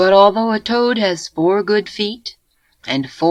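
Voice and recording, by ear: Against a quiet background, the passage is delivered by reading aloud in a natural voice.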